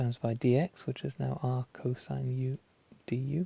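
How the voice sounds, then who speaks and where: A man's medium-pitched, somewhat breathy voice moves with fairly even intonation. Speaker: maths tutor. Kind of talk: tutorial.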